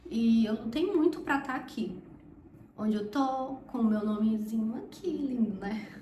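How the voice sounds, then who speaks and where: Audible room echo surrounds the voice. Noticeable background noise is also present. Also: woman. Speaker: medical student, vlogger. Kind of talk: casual talk to camera. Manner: slow.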